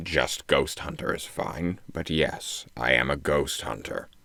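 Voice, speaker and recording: A man puts on a character voice that is very deep, low, and raspy. He speaks at a fairly slow pace. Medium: read story. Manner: curt, dismissive.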